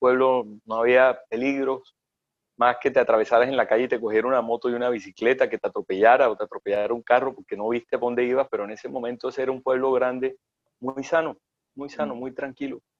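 Talking at a very fast pace, a man keeps a monotone, flat intonation. His loudness swings widely. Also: medium pitch for a man. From Colombian Caribbean coast (Sincelejo, Córdoba). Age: 40s. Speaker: chef. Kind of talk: interview conversation.

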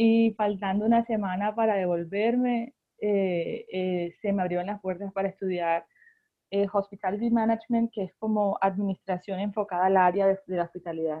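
An unremarkable speaking voice at a moderate pace, with fairly even intonation. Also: woman, medium pitch for a woman. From Colombia, Barranquilla. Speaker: pastry chef and baker. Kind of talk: casual interview.

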